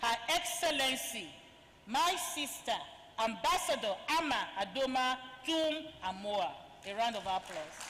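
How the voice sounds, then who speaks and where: A high-pitched woman speaks at a fairly slow pace, with very wide pitch swings and long, frequent pauses. Audible room echo and noticeable background noise are present. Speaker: event moderator. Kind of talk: formal introduction of speakers. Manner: formal.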